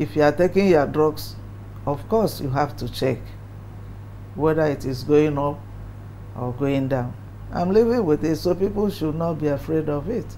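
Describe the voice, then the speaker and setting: Against noticeable background noise, a woman with a very deep, low voice speaks at a moderate pace with lively intonation and long, frequent pauses. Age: 70s. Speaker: interviewee living with hypertension. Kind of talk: documentary interview.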